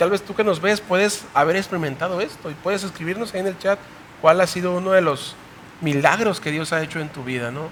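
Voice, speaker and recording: A man talks at a high pitch and a fairly quick pace. Noticeable background noise is present, and his pitch varies in an ordinary way. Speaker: youth Bible study host, pastor. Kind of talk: panel discussion. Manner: fast.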